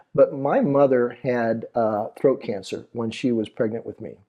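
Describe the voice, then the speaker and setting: A man speaks with an American accent at a moderate pace, his medium pitch showing ordinary variation. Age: 60s. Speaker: teacher and author. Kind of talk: interview. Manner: halting.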